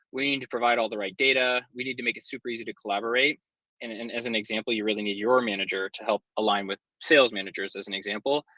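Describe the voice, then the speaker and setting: Dry and close with no echo, a man's medium-pitched voice has a bright, sharp tone, fairly even intonation, big swings in loudness and a very fast pace. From Nova Scotia, Canada. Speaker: partnerships executive. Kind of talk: webinar presentation. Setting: live online video session.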